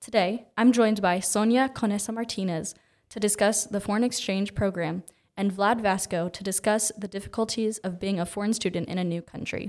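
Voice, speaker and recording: On a very clean recording with a silent background, a normal speaking voice moves at a fairly quick pace with fairly even intonation. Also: woman, medium pitch for a woman. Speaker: student reporter for a school paper. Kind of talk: scripted news report intro and interview.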